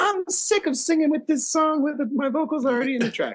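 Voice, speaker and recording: A squeaky, high-pitched put-on character voice at a fairly quick pace. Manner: mock-singer affectation.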